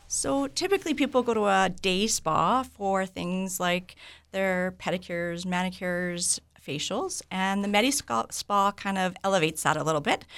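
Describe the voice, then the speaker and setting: A woman with a Canadian accent uses a normal speaking voice at a medium pitch, moving at a moderate pace with lively intonation on a very clean recording with a silent background. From Vancouver, Canada. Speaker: medical spa owner. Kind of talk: radio interview.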